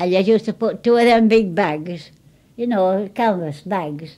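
Her voice is dark and mellow, at a medium pitch with ordinary pitch variation. The woman speaks at a moderate pace. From Yorkshire, England. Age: 80s+. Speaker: wartime railway goods depot worker. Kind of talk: oral history interview answer. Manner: hesitant, conversational. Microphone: old recording.

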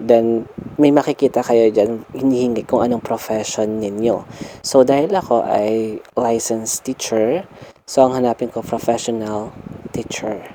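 Noticeable background noise runs under a man's fairly slow speech. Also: medium pitch for a man, fairly even intonation. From Philippines, Nueva Ecija (Cabanatuan). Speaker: YouTuber and licensed teacher. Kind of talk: vlog tutorial.

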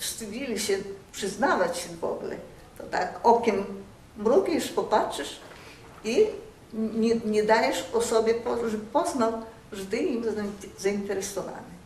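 A woman's fairly high voice at a very slow pace, with audible room echo and light background noise. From Białystok, Poland. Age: 80s+. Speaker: oral history interviewee. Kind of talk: oral history interview answer. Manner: reflective, conversational. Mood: warm, nostalgic. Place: home room.

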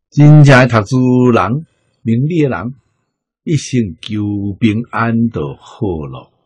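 This man talks very slowly in a medium, somewhat breathy voice. His intonation is lively, and his loudness swings widely. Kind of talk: lecture.

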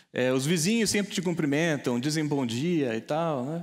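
A man with an unremarkable speaking voice, fairly high in pitch, at a moderate pace with ordinary pitch variation against a quiet background. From Brazil, interior of São Paulo state (Taubaté); São Paulo, Brazil. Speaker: data scientist and tech entrepreneur; keynote speaker. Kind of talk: keynote talk. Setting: stage with audience. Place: hall. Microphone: lapel.

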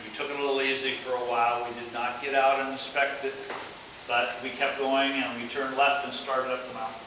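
A very fast man's voice in a monotone, flat intonation, with noticeable background noise and audible room echo. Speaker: guest. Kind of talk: lecture storytelling. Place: classroom. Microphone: camera far.

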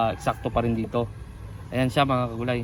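A man at medium pitch, with monotone, flat intonation and a fairly quick pace. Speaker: farmer and video blogger. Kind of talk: farm vlog tutorial. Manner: casual, halting with frequent fillers.

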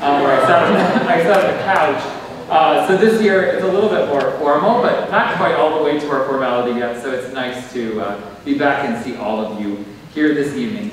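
Strong room echo surrounds a man talking at a fairly quick pace. Light background noise is present. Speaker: theatre director hosting event. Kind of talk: welcome speech. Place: stage.

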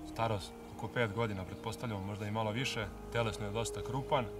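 Music plays behind a man talking at a very fast pace, and the sound is dry with no echo. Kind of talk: casual vlog chat. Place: open country. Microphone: phone near.

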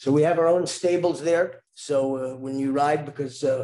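A man with an American accent and a dark, mellow tone, pitched fairly high, in a monotone, flat intonation at a moderate pace. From New Jersey, US. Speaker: tour company founder. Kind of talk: webinar presentation.

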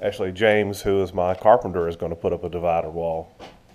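At a moderate pace, a man speaks with a dark, mellow tone. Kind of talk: casual vlog chat. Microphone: phone near.

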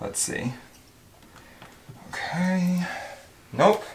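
Noticeable noise fills the background. A man speaks very slowly over it. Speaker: vlogger. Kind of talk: casual vlog chat. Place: home room. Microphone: phone near.

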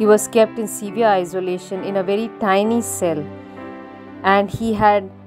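Over music in the background, a woman talks with fairly even intonation. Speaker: narrator. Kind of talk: narrated biography lecture.

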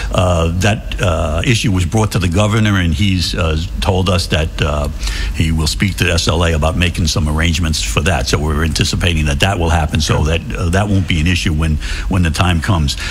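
Music plays in the background as a man speaks at a fairly quick pace with very even loudness. His very deep, low voice shows ordinary pitch variation. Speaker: guest. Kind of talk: interview answer. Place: studio. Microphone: studio mic.

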